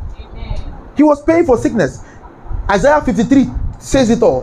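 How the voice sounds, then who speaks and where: A man speaks at a fairly slow pace with very wide pitch swings over noticeable background noise. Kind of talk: sermon, preacher in full flow with call-and-response. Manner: commanding and rousing, barking repeated orders for the crowd to echo; loud, fervent, rhythmic and repetitive.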